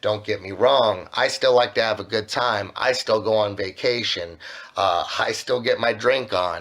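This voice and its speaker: Speaking at a fairly slow pace, a man has an unremarkable speaking voice with medium pitch and fairly even intonation. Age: 30s. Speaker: musician. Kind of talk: casual chat. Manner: casual, filler-heavy.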